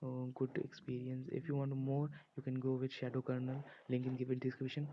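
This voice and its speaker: A man talks at a fairly quick pace in a monotone, with flat intonation. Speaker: tech video creator. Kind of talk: casual talk to camera.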